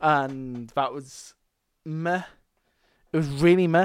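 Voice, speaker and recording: A man with a Scottish accent speaks with ordinary pitch variation on a very clean recording with a silent background. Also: dry, close sound with no echo. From Scotland. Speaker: wrestling podcast host. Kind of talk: solo casual podcast review. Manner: animated.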